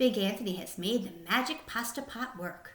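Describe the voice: At a moderate pace, a fairly bright voice carries ordinary pitch variation, with audible room echo around it. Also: woman, medium pitch for a woman.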